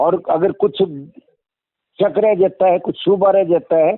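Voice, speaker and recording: A man talks at a high pitch. His pitch variation is ordinary. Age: 70s. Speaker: retired agricultural scientist. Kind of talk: interview. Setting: phone call.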